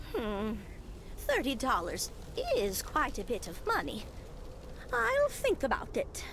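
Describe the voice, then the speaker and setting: A put-on character voice with a warm tone speaks at a fairly slow pace with long, frequent pauses. Loud background noise runs underneath. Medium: video game. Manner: warm, chatty, motherly.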